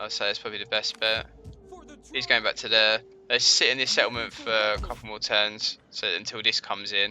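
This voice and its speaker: A man with a London accent talks at a fairly quick pace over music in the background. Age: 20s. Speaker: gaming streamer. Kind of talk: live gameplay commentary. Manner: casual, thinking aloud.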